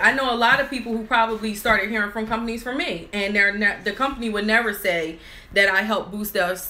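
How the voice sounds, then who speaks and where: Amid noticeable background noise and audible room echo, a woman with fairly high pitch talks at a very fast pace. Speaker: nail business owner and YouTuber. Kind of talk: live stream chat. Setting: office with crew, live video.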